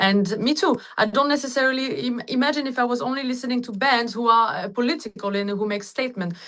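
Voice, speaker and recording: A woman speaks at a high pitch with ordinary pitch variation. Her pace is very fast, with hardly any pauses. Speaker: singer. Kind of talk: interview answer. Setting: video call.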